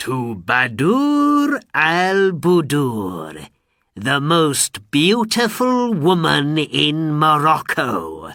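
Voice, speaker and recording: A very slow, put-on character voice from a man, pitched fairly high. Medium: read story.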